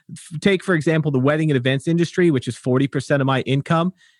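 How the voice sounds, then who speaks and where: Here is an ordinary speaking voice: a man with a fairly high pitch and lively intonation. The sound is dry and close with no echo, on a very clean recording with a silent background. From England, Wolverhampton, moved to the US. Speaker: photographer and podcast host. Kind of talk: casual chat.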